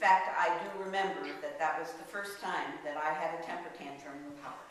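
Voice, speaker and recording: With an American accent, a woman talks at a fairly slow pace amid noticeable background noise and audible room echo. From US Midwest, Northwest Ohio. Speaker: lay speaker at church service. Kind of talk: personal reflection talk in church.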